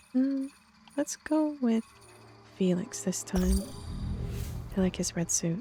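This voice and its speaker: A soft-spoken woman at a very slow pace, medium in pitch with lively intonation and very even loudness, long, frequent pauses, and noticeable background noise. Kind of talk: relaxed gameplay commentary for sleep. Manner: soft-spoken, quiet.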